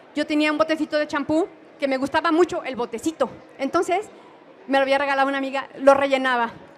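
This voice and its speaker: A woman's high pitch at a very fast pace, with fairly even intonation. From Mexico. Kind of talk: conference talk.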